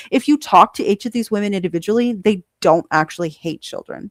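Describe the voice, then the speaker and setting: A woman speaks in an animated tone. The recording is very clean, with a silent background and a dry, close sound with no echo. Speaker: streamer. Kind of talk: live stream reaction commentary. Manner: loud.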